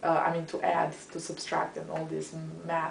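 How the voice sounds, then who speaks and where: A woman speaks with a Romanian accent. Room echo can be heard. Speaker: history professor. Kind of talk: interview. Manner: halting.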